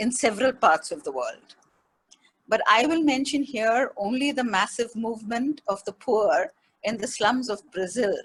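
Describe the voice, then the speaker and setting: Here a woman speaks in a high voice at a moderate pace. Her intonation is lively. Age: 70s. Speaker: speaker at a webinar on faith and feminism. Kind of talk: presentation.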